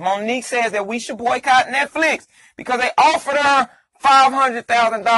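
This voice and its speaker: A man talks at a fairly quick clip in a raised, projected voice, his tone animated, bright and sharp. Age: 30s. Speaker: comedian and podcaster. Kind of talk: casual monologue.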